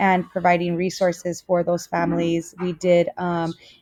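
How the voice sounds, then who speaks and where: A woman speaks with a Spanish accent in a fairly low pitch. Her pace is moderate. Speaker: student teacher. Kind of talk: self-introduction video. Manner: hesitant, many fillers.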